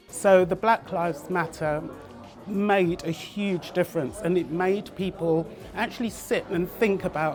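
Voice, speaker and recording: Music plays in the background. A woman speaks at a fairly slow pace with a fairly low pitch. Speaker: magazine publisher and editor. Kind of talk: interview answer. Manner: soft-spoken.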